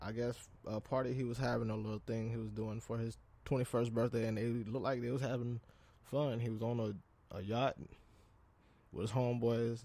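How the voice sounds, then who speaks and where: Delivered at a fairly quick pace with long, frequent pauses, the voice has a dark, mellow tone and monotone, flat intonation. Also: man, medium pitch for a man. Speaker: podcast host. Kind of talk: casual solo podcast talk. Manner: halting, with fillers and repeats.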